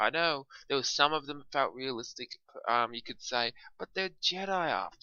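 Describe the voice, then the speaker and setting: A man speaks at a fairly slow pace. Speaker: film reviewer. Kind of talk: solo video review. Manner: halting, many fillers; quiet. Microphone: poor mic, sounds quiet.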